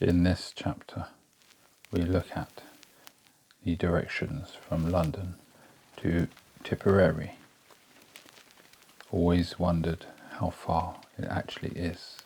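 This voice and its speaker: Soft-spoken and soothing, a man talks at a fairly slow pace with long, frequent pauses in a very deep, low, monotone voice with flat intonation over noticeable background noise. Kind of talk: sleep story. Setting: studio. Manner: soft-spoken, slow, soothing.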